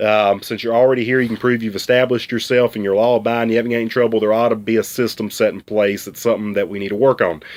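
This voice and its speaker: The speaker has a strong Southern US accent and talks at a very fast pace with hardly any pauses. The intonation stays monotone and flat. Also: man, medium pitch for a man. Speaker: student. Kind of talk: class video presentation. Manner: casual, halting with fillers.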